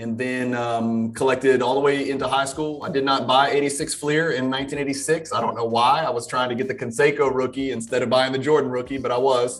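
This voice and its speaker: A man's very fast, monotone, flat delivery in an American accent at a medium pitch, with hardly any pauses, noticeable background noise and audible room echo. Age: 40s. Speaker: card collector and lawyer. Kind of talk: casual chat.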